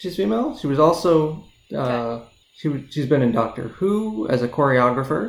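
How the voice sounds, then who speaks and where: A man with an unremarkable speaking voice, lively intonation, fairly high pitch and moderate pace. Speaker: podcast co-host. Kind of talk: casual chat.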